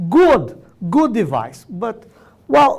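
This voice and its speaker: A man speaks with a Brazilian Portuguese accent. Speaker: orthodontics professor. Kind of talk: lecture. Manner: loud; animated.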